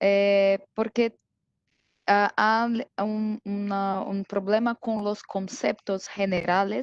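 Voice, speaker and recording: In a dry, close sound with no echo, a woman at medium pitch speaks at a very slow pace with fairly even intonation. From Brazil. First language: Portuguese (speaking Spanish). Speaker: IT security specialist. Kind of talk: technical presentation. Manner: halting, many fillers.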